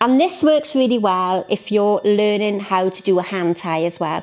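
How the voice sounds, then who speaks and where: Speaking with a Welsh accent at a moderate pace, a woman uses a fairly high pitch and lively intonation over noticeable background noise. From Wales, South Wales. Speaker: florist. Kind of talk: tutorial. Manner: animated.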